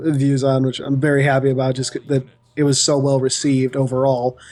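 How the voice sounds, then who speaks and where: Fairly high in pitch, a man is speaking here. His pace is fairly quick. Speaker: lore YouTuber. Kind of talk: interview. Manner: fast.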